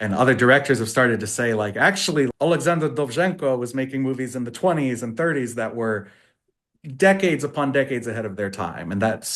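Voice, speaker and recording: In a plain, everyday voice, a man with an American accent speaks at a fairly quick pace and medium pitch, his intonation lively over a quiet background. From United States. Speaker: English language tutor for actors. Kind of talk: interview answer.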